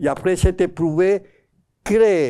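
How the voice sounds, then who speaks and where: Here is a man with a Spanish accent. The recording is very clean, with a silent background. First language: Spanish (speaking French). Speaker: psycholinguist giving a talk. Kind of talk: lecture. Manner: halting, with self-corrections.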